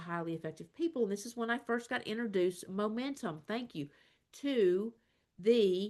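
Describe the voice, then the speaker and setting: A woman talks at a very fast pace in a medium pitch, her tone animated and her intonation lively. The background is quiet. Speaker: career coach. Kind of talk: webinar presentation. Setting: online video meeting.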